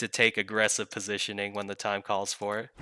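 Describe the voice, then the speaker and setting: This is a man speaking. His pitch is fairly low. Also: very clean recording, silent background. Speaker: game coach. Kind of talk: gameplay review commentary.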